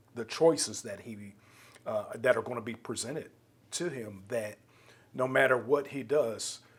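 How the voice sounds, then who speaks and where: Here is a man with a normal speaking voice. He keeps a moderate pace and fairly even intonation. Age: 50s. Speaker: podcast host. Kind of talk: interview conversation.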